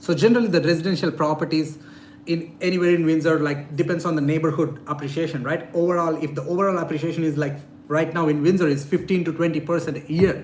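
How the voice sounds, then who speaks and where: A man with a non-native accent speaks at a very fast pace and fairly high pitch in a monotone, flat intonation, with audible room echo and noticeable background noise. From India. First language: not English. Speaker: real estate investor and YouTuber. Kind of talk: live-stream Q&A. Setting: live stream.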